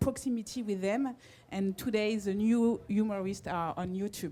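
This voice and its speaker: A woman speaks in a strong French accent at a medium pitch. Her intonation is fairly even, and her pace is moderate. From France. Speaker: brand marketing representative. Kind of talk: panel discussion. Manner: halting.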